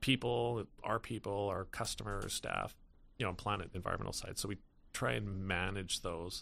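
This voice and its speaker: A fairly low male voice with vocal fry and a Canadian accent, in a very clean recording with a silent background. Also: ordinary pitch variation, moderate pace. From British Columbia interior, Canada (Salmon Arm). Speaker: tech company founder and CEO. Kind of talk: interview conversation. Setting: studio. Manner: hesitant, many fillers.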